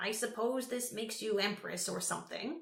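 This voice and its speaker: In a put-on character voice, a female-sounding speaker with fairly high pitch sounds shaky and rumbling at a moderate pace, with audible echo around her. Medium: read story. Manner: quavering, eccentric, grumbling.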